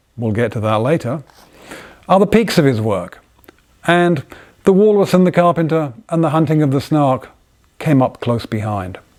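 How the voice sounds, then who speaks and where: A man with an English accent and a fairly high pitch, very wide pitch swings, a moderate pace, and long, frequent pauses. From England. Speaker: inventor and designer. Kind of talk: casual talk to camera. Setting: workshop by the fire.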